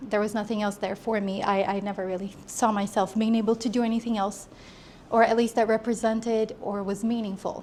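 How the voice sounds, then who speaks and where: A woman with an American accent speaks fairly quickly at a fairly high pitch, her intonation monotone and flat. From Brazil, raised in the US. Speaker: entrepreneur. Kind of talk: talk to a small audience. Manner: halting.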